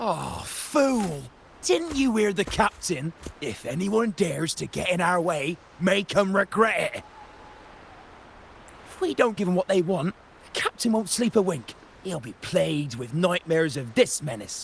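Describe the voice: In a put-on character voice, a man speaks fairly slowly at a high pitch with vocal fry and big pitch swings.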